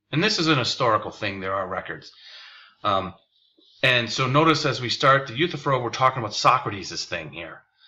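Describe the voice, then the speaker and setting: A normal speaking voice with lively intonation. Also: man. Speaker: philosophy teacher. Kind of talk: lecture. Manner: casual, with fillers.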